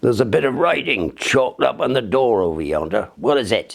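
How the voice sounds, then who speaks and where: A man performs a put-on character voice at a fairly quick pace, his pitch swinging very widely. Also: medium pitch for a man. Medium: read story. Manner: dull, spiteful.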